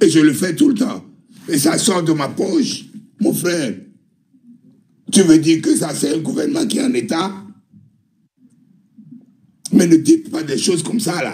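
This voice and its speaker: Here a man has a high pitch and a dark, mellow tone, with very wide pitch swings. He goes at a fairly slow pace with long, frequent pauses. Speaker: participant in live online discussion. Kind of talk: heated debate. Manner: animated.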